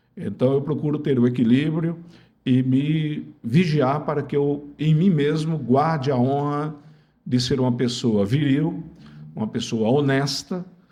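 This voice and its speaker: With audible room echo, a man speaks fairly slowly in a dark, mellow tone with fairly even intonation. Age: 70s. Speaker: lawyer and former politician. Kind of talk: interview.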